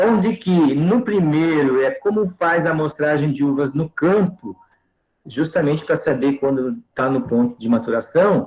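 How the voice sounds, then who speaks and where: A normal speaking voice from a man at fairly high pitch and a fairly slow pace, with lively intonation and very even loudness. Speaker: teacher. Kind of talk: online lecture.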